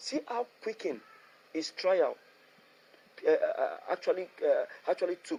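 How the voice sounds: A man's dark, mellow tone with vocal fry and lively intonation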